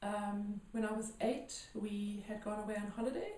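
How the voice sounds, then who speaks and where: A woman speaks in a fairly high, somewhat breathy voice with a dark, mellow tone and flat, monotone intonation, and the room echo is audible. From South Africa, Johannesburg. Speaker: healer. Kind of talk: interview. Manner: hesitant, many fillers.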